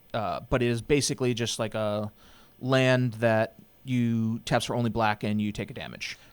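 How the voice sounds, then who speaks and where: In a very clean recording with a silent background, a man speaks in a monotone, flat intonation at a moderate pace and medium pitch. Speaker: game commentator. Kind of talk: live commentary. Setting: commentary booth. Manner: loud; announcer style.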